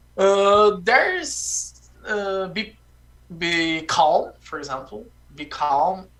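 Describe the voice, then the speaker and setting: A man talks with a high pitch. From Brazil. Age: 20s. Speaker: language-learning guest. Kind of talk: casual conversation practice. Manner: halting, repeats words.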